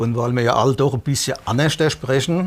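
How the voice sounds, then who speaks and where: A plain, everyday voice from a man at a moderate pace with ordinary pitch variation. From Palatinate (Hinterpfalz), Germany. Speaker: band lyricist. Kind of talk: TV interview.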